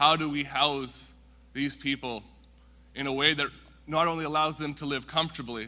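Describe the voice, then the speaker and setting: With a Western Canadian accent, a man speaks at a moderate pace in a fairly high, bright, sharp voice, his intonation flat and monotone, on a very clean recording with a silent background. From Canada, Vancouver (Musqueam First Nation). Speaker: First Nations council member. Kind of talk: welcome speech.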